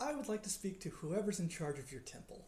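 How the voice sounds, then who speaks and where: At a middle pitch, a put-on character voice races along at a very fast pace. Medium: actual play. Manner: courteous, calm.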